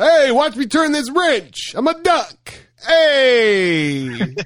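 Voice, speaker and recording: Putting on a character voice, a man speaks at an extremely high pitch and a very slow pace. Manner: cartoon voice.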